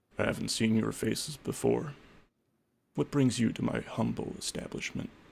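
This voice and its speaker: This man puts on a character voice. His pitch sits in the medium range. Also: moderate pace. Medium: actual play. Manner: calm, courteous, quietly commanding.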